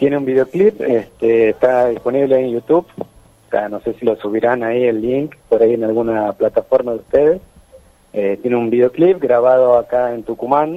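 Here a man talks at a moderate pace. His pitch is medium and varies in an ordinary way. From Santiago del Estero, Argentina. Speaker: folk musician. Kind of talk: radio interview.

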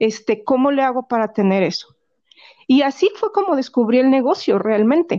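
A woman in a Mexican accent, high-pitched and dark and mellow in tone, with very wide pitch swings at a moderate pace. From Mexico, Guanajuato. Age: 40s. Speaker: essential oils seller and massage therapist. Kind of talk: casual interview.

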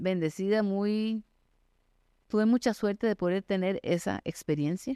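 With a Costa Rican accent, a woman speaks in a dark, mellow tone, the sound dry and close with no echo against a quiet background. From Costa Rica, San José. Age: 50s. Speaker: mountaineer and endurance athlete. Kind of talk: interview.

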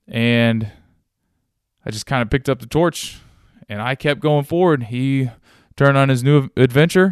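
The speaker has a Midwestern American accent and a moderate pace. The background is quiet. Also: man. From Ohio, US Midwest. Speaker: gym owner and CrossFit coach. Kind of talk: solo podcast monologue. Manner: casual, conversational.

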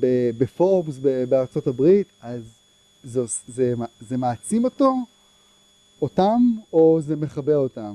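A man speaks in a dark, mellow tone at a fairly high pitch, with lively intonation. The sound is dry and close, with no echo. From Israel, Herzliya. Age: 50s. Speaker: tech entrepreneur. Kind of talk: lecture. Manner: halting, many fillers and repetitions.

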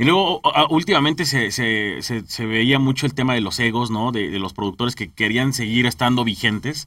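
The pace is moderate and the tone bright and sharp. Pitch varies in an ordinary way. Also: man, medium pitch for a man. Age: 30s. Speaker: podcast host, entrepreneur. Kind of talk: interview chat. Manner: halting, repeats words.

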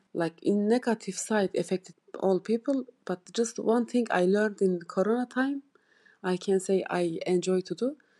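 Speaking at a moderate pace in a Turkish accent, a woman has a dark, mellow tone at a medium pitch with ordinary pitch variation, the sound dry and close with no echo over a quiet background. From Turkey. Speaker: ESOL student. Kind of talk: self-recorded personal monologue. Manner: halting, non-native pauses.

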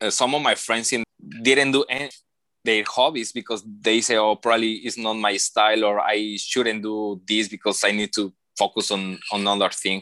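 This man's fairly low voice has a bright, sharp tone and fairly even intonation at a moderate pace. The sound is dry and close, with no echo. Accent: Mexican. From Mexico. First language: Spanish. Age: 20s. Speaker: engineer and photographer. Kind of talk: interview. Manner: halting.

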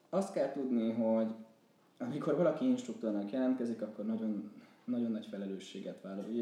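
Lively intonation carries a fairly quick pace. Noticeable background noise and audible room echo are present. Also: man, medium pitch for a man. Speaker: PhD student and former student organizer. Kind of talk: casual interview chat.

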